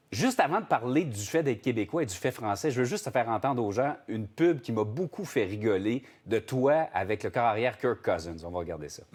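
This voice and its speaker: A man speaks at a fairly quick pace with hardly any pauses, his medium-pitched voice animated in tone and lively in intonation. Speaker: TV morning show host. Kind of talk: interview.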